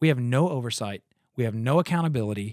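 A man talks at a fairly quick pace with lively intonation in a plain, everyday voice. The recording is very clean with a silent background and a dry, close sound with no echo. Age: 30s. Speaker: podcast host and former church planter. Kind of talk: casual chat.

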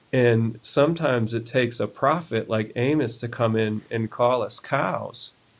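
An unremarkable speaking voice, this man has an American accent, a medium pitch, fairly even intonation and a fairly slow pace. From US South, South Carolina. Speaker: pastor. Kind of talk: casual Bible discussion.

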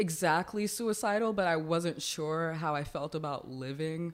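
A woman talks at a fairly slow pace. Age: 20s. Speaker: comedian. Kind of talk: casual chat.

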